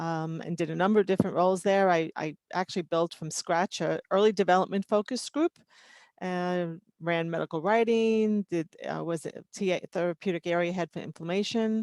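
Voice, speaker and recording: In a New York accent, a woman with fairly low pitch talks at a fairly quick pace, the sound dry and close with no echo against a quiet background. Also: fairly even intonation. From New York City (Queens, Long Island). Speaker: toxicology and regulatory consultant. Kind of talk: mentoring talk about career. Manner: casual, many fillers.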